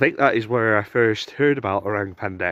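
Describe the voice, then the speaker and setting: A man with a strong northern English accent speaks at a moderate pace, his fairly low voice keeping a fairly even intonation. The sound is dry and close with no echo, over a quiet background. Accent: thick northern English. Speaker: outdoor vlogger, cryptid enthusiast. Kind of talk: casual monologue while walking in woods. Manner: casual, hesitant with fillers.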